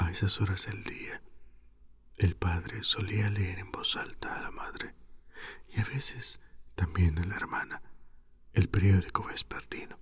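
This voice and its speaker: A man talks at a fairly slow pace, leaving long, frequent pauses. His loudness rises and falls in big swings. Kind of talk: sleep story reading, audiobook-style literary reading. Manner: whispered, soft.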